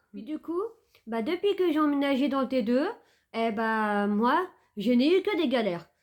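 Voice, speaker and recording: A woman with a high pitch talks at a fairly slow pace, her pitch swinging very widely. She takes long, frequent pauses, and the recording is very clean with a silent background. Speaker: vlogger. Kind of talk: casual storytime vlog. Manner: halting, many fillers.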